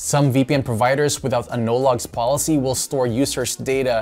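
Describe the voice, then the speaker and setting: A man speaks at a moderate pace with ordinary pitch variation. Faint music plays in the background. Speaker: tech reviewer host. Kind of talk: tutorial. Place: studio.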